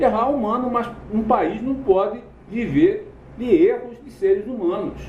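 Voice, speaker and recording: A man with an extremely high pitch speaks at a fairly slow pace, leaving long, frequent pauses. His intonation is lively and his loudness swings widely, with audible room echo and noticeable background noise. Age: 60s. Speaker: political commentator. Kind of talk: political commentary monologue. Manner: halting, self-correcting.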